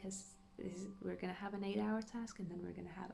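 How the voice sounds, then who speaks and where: The voice is a woman's. Audible room echo and noticeable background noise surround her. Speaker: gaming youtuber. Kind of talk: gameplay commentary. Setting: home at night. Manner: quiet, hushed.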